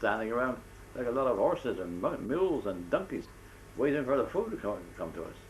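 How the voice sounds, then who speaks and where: A man talks with vocal fry. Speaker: war veteran. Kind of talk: interview answer.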